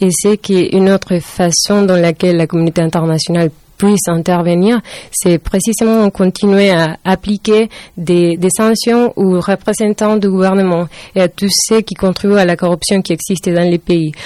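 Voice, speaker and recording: With a dark, mellow tone, a woman speaks at a moderate pace with very even loudness and fairly even intonation, in a dry, close sound with no echo. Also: medium pitch for a woman. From Venezuela. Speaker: student. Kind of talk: interview. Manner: halting.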